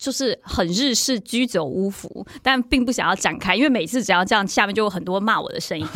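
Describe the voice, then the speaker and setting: Her intonation is lively and her pace fairly quick. This woman leaves hardly any pauses. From Taiwan. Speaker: sports blogger and former TV anchor. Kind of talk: casual chat.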